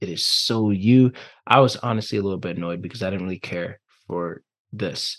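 A man talks at a moderate pace in a fairly low pitch with ordinary pitch variation. His is a plain, everyday voice. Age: 20s. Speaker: life and relationship coach. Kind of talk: interview.

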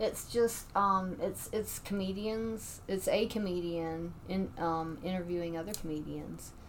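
The speech moves at a fairly slow pace with hardly any pauses and fairly even intonation. Noticeable background noise runs underneath. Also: woman, medium pitch for a woman. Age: 50s. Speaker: stand-up comedian. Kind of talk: casual chat.

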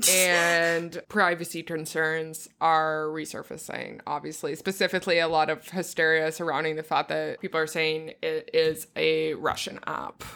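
With hardly any pauses, a woman talks in an animated, bright, sharp tone at a very deep, low pitch, on a very clean recording with a silent background. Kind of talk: casual comedic banter. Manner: animated, joking, laughs a lot.

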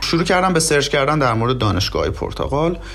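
Fairly high for a man, this male voice carries audible room echo and noticeable background noise. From southwestern Iran, oil region. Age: 30s. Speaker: immigrant master's student. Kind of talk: interview. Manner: polite, formal.

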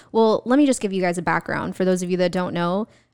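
With an unremarkable speaking voice, a woman talks at medium pitch with ordinary pitch variation. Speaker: podcast guest. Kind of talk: casual chat.

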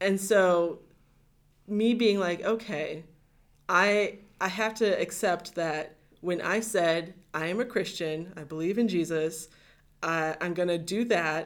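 A woman's fairly low voice with a Midwestern American accent, ordinary pitch variation, a fairly slow pace and long, frequent pauses. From US Midwest, Northeast Ohio. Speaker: podcast guest. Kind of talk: casual chat.

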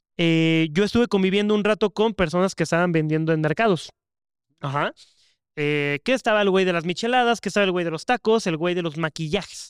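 The recording of this high-pitched man is very clean, with a silent background and a dry, close sound with no echo. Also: ordinary pitch variation, fairly quick pace. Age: 20s. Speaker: podcast co-host. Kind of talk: casual chat.

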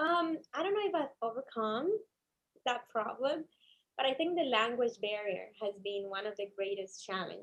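Speaking in a Cuban accent, a woman has a fairly high pitch and very wide pitch swings. Her pace is moderate. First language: Spanish. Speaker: attorney. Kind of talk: interview. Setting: studio.

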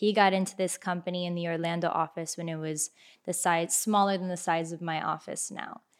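A woman with a Miami accent, fairly low in pitch, monotone and flat, at a fairly quick pace on a very clean recording with a silent background. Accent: Miami American English. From Miami, Florida (Kendall). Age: 20s. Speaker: insurance agent. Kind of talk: casual chat.

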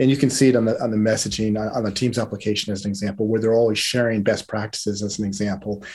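A man's fairly low voice at a very fast pace, with hardly any pauses and monotone, flat intonation. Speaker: market research firm founder. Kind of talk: casual interview. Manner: hesitant, filler words.

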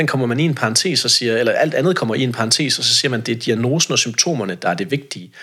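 Recorded very cleanly with a silent background, a man of medium pitch speaks in a bright, sharp tone with lively intonation and vocal fry. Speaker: self-employed social sector consultant and debater. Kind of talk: podcast interview.

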